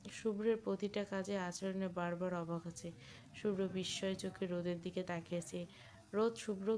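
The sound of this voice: Delivered in an unforced reading voice, the speech keeps a fairly even intonation.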